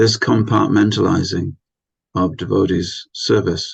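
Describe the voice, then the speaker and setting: A man talks fairly low and at a fairly slow pace, with vocal fry. His pitch variation is ordinary. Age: 60s. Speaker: spiritual teacher. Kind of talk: lecture. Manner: hesitant fillers.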